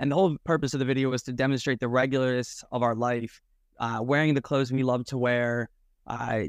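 Against a quiet background and a dry, close sound with no echo, a man with an American accent talks in an unremarkable speaking voice, medium in pitch with fairly even intonation. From New Jersey. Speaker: conference attendee. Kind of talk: casual chat. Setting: video call.

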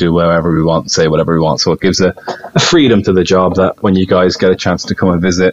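Over noticeable background noise, a man with an Irish accent and a very deep, low pitch talks at a very fast pace with fairly even intonation. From Ireland, Dublin. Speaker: tour guide. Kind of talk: casual chat. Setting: video call.

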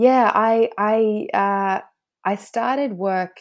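An Australian accent comes through as a woman speaks in a very clean recording with a silent background. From Australia, Snowy Mountains NSW. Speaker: international lawyer. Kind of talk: interview.

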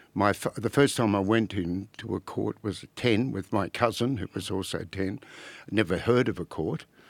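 The sound is dry and close, with no echo. A man with an Australian accent talks at a moderate pace in a fairly low pitch. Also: ordinary pitch variation. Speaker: former barrister and author. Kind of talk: casual chat.

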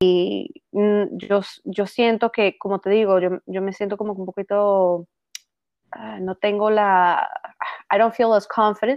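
A woman with a medium pitch speaks at a very slow pace, leaving long, frequent pauses, her intonation fairly even. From Venezuela. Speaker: actress. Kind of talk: casual chat. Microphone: laptop mic.

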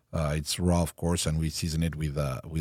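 With a dark, mellow tone and a very deep, low pitch, a man speaks at a moderate pace with fairly even intonation. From Mexico. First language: Spanish and French. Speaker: chef and restaurant owner. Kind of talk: casual interview. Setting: studio with headphones. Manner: halting, many fillers.

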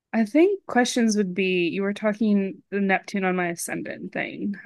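A woman speaks with an unremarkable speaking voice at medium pitch. Her pace is moderate, and her pitch varies in an ordinary way. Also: quiet background. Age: 30s. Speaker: astrology student. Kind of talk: reading aloud; casual chat.

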